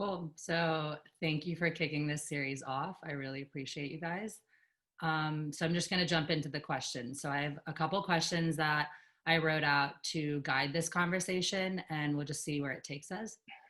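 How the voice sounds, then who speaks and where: The voice has a bright, sharp tone and an American accent, with fairly even intonation. The background is quiet. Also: woman, very deep, low pitch for a woman, moderate pace. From Georgia, US. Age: 20s. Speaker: discussion host. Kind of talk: moderating a discussion.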